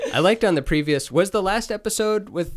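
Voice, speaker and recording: The speaker uses an animated tone at a moderate pace. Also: man. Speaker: guest. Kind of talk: casual chat. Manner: animated, joking.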